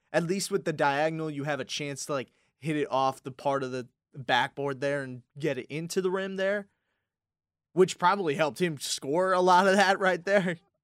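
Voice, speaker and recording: A normal speaking voice at a moderate pace with ordinary pitch variation, in a dry, close sound with no echo. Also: man, fairly high pitch for a man, very clean recording, silent background. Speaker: college radio co-host. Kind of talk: casual chat. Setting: studio.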